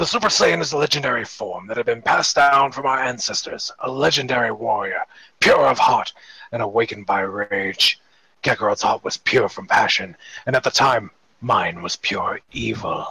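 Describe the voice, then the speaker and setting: A man speaks in a put-on character voice, raspy and at medium pitch. His moderate pace comes through a dry, close sound with no echo. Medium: read story. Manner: brash, impatient.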